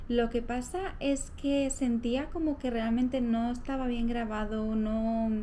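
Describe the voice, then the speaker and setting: In a room with audible echo, a soft-spoken woman with a high voice talks very slowly, with hardly any pauses and fairly even intonation. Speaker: lifestyle vlogger. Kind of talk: casual vlog talk to camera. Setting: at home. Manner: soft-spoken, speaking quietly.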